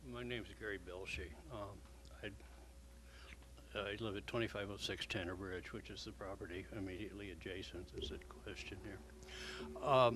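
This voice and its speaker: With audible room echo and noticeable background noise, a man speaks at a moderate pace in a very deep, low voice that makes very wide pitch swings. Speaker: neighbouring resident speaking in opposition. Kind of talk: public comment at a hearing. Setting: city commission meeting. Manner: soft-spoken.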